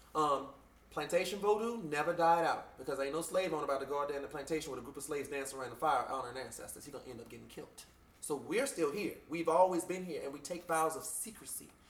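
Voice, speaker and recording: With audible room echo, a man talks at a very fast pace and a fairly high pitch, using ordinary pitch variation and big swings in loudness. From Louisiana, Bayou Sarah. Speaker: voodoo priest. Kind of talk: interview. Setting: shop. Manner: animated.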